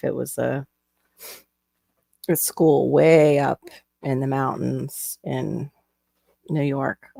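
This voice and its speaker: A woman with a Florida accent, in a dry, close recording with no echo. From Florida, US. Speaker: live stream host, crafter. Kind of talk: casual chat.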